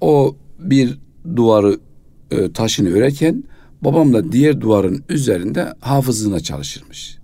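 Dark and mellow in tone, a man's medium-pitched voice keeps a moderate pace. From Kayseri, central Anatolia, Turkey. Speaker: mufti, religious official. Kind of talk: radio interview, life story. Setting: radio studio.

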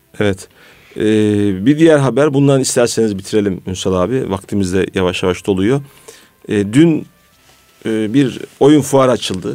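Using a normal speaking voice, a man talks at a fairly slow pace, fairly low in pitch, with lively intonation. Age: 40s. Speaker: radio host. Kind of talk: radio talk show.

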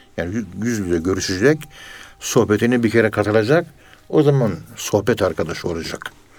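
Lively intonation runs through an ordinary speaking voice at a fairly quick pace. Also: man, fairly low pitch for a man. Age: 60s. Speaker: professor of Sufism. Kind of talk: religious radio talk.

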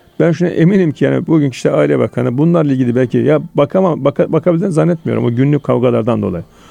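A man's very fast, nearly pauseless speech at very even loudness, in a dry, close sound with no echo. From Turkey, Konya (central Anatolia). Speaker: lawyer and legal academic. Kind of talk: radio interview.

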